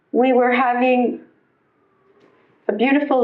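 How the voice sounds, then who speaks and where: Her voice is high-pitched as the woman speaks. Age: 60s. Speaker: spouse of detained immigrant, speaker at rally. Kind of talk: testimony.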